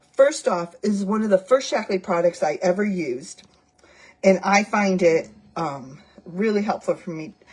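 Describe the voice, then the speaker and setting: A woman speaks at a moderate pace with medium pitch and a somewhat breathy quality. Her intonation is lively, and her loudness swings widely. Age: 60s. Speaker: product seller / vlogger. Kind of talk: product demonstration vlog. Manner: casual, chatty with fillers.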